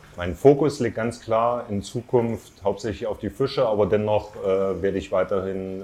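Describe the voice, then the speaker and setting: Speaking in an ordinary speaking voice, a man talks at a moderate pace with ordinary pitch variation. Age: 30s. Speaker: aquarium fish importer and shop owner. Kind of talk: interview. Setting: on location at his shop.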